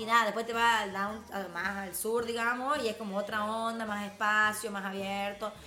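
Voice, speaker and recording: At a moderate pace with hardly any pauses, a woman talks at a fairly high pitch, with audible room echo and noticeable background noise. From Tucumán, Argentina. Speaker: entrepreneur. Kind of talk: casual chat. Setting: live stream. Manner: animated.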